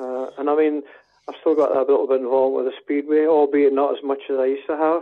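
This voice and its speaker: In a Scottish Borders accent, a man speaks at a very fast pace. His pitch is fairly high and his intonation is monotone and flat. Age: 70s. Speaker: football club secretary. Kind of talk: interview.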